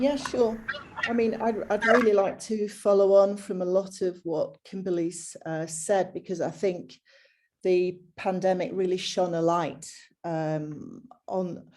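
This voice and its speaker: A woman with a northern English accent speaks at a fairly slow pace with ordinary pitch variation. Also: medium pitch for a woman. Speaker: business executive. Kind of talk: panel discussion. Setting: video call.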